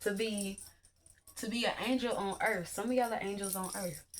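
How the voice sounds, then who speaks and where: An animated woman at medium pitch, with music in the background. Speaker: spiritual teacher / YouTuber. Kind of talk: online class lecture. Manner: halting, loses train of thought.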